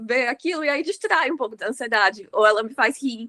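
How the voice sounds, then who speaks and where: A woman uses a raised, projected voice with a bright, sharp tone and lively intonation, talking at a fairly quick pace in a dry, close sound with no echo. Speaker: podcast host. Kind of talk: casual chat. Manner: fast.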